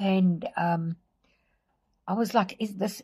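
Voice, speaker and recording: Speaking very slowly, a woman uses a medium pitch, a somewhat breathy quality and fairly even intonation. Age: 60s. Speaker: vlogger. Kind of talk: casual vlog monologue. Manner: hesitant, many fillers.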